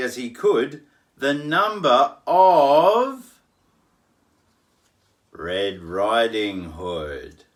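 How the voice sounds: A man talks at a medium pitch. His pitch swings very widely.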